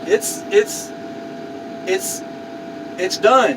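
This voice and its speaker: Speaking very slowly at an extremely high pitch, a man is heard over noticeable background noise. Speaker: car crusher, military veteran, YouTuber. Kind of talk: casual vlog talk to camera.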